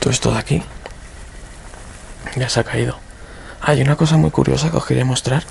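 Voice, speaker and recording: A soft-spoken man talks at a fairly quick pace with long, frequent pauses over noticeable background noise. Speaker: urban explorer video creator. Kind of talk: walkthrough narration. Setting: indoors in abandoned house.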